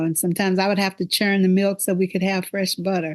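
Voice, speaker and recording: Against a quiet background, a woman with a Texas accent speaks at a fairly quick pace in a monotone, flat intonation. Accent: US Southern (Texas). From northeast Texas. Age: 70s. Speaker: podcast host. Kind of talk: casual conversation with daughter.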